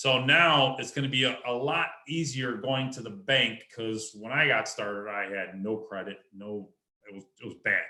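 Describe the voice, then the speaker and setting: Heard here is an ordinary speaking voice at a moderate pace, with ordinary pitch variation. Its loudness swings widely. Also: man, medium pitch for a man. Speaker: real estate investor. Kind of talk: presentation at an online meeting.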